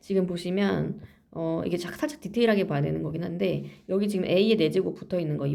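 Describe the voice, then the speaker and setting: A woman talks at a fairly quick pace. Audible room echo fills the recording. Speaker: math teacher. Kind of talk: lecture. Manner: fast.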